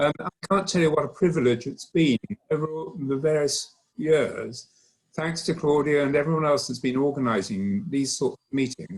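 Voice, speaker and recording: Moderate pace and ordinary pitch variation in a somewhat breathy voice. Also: man, fairly high pitch for a man. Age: old. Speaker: acoustician. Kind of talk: round table remarks. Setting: conference round table.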